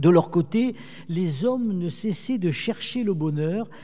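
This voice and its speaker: The voice has a dark, mellow tone and ordinary pitch variation, delivered at a very slow pace. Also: man. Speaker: theologian lecturer. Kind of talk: lecture.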